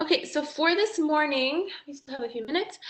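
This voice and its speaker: A woman projects a raised voice with a bright, sharp tone. She speaks at a moderate pace with ordinary pitch variation. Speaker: high school English teacher. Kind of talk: online class lesson. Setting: recorded video call meeting.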